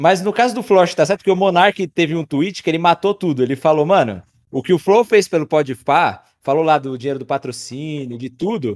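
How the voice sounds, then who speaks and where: A man at a moderate pace, his intonation lively. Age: 20s. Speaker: YouTube creator. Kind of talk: casual chat.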